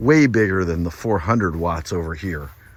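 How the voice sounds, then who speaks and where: A man talks over noticeable background noise. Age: 60s. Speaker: solar installer and seller. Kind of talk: casual video walkthrough and sales pitch. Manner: casual, conversational.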